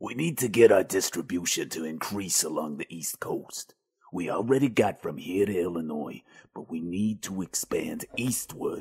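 A man puts on a character voice, fairly low-pitched for a man, at a moderate pace. His intonation is lively, and his loudness swings widely. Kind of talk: 1920s gangster drama. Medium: audio drama. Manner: commanding, stern.

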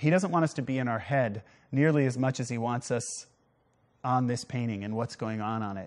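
A man talks with ordinary pitch variation at a moderate pace. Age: 50s. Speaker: art show host. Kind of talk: live TV art presentation. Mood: warm, reflective, persuasive. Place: studio. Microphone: lapel.

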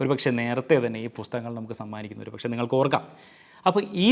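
A man speaks in a medium pitch. He has a plain, everyday voice. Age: 40s. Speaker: book reviewer. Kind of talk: book review talk.

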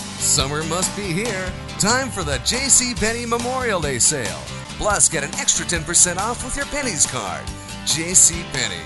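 Fairly slow male speech over clearly audible background music. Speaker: voice actor. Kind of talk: TV commercial read. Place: studio. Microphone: studio mic.

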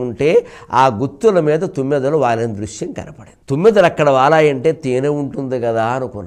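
Over a quiet background, a man talks in an animated tone. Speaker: Telugu religious discourse speaker (pravachanam). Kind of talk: spiritual discourse storytelling. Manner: animated, expressive storytelling. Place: studio.

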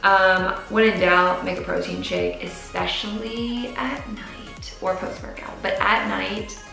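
A very slow delivery with hardly any pauses in an American accent, with audible room echo and clear music in the background. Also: woman. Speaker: fitness and nutrition vlogger. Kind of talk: casual talk to camera. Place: home room.

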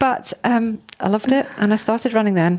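The speech moves at a fairly quick pace with lively intonation. Noticeable background noise is present. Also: woman. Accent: southern English. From southern England, Hertfordshire. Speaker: chartered accountant. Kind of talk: interview. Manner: casual.

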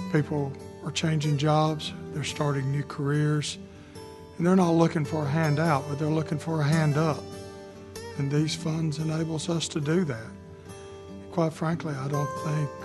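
A man is speaking at a moderate pace. Music plays clearly in the background. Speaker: county or community leader. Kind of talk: interview answer. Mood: earnest, persuasive. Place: office. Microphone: lapel.

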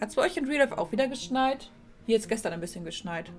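A woman's voice is heard with faint music in the background. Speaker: game streamer. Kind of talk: casual gameplay commentary. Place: home room. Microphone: headset.

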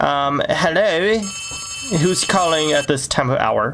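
Speech comes at a very slow pace, with music in the background. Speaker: gaming streamer. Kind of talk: let's play commentary. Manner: animated.

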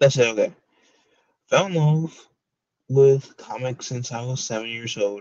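A man talks fairly slowly, his intonation fairly even, against a quiet background. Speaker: comics reviewer streamer. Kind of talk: casual livestream commentary.

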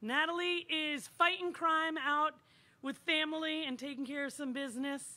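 A woman's raised, projected voice, bright and sharp in tone, with ordinary pitch variation. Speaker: show host. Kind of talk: host introduction. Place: stage. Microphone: handheld.

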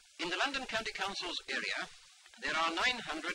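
A man talks at a fairly quick pace with lively intonation. There is noticeable background noise. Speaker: politician, council leader. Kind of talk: official public statement.

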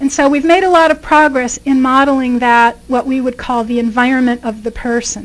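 A woman talks at a fairly quick pace with hardly any pauses. Her high-pitched voice keeps a fairly even intonation. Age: 50s. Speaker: professor; guest lecturer. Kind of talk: lecture. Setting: stage with audience. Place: hall. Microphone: podium.

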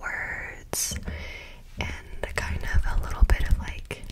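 A whispering woman at a very slow pace. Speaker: ASMR creator. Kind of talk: ASMR trigger words. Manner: whispered. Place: home room. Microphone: studio mic.

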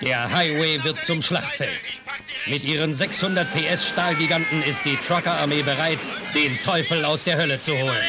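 Music plays in the background as the voice holds very even loudness and fairly even intonation. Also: man, fairly high pitch for a man, moderate pace. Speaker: trailer narrator. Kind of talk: movie trailer.

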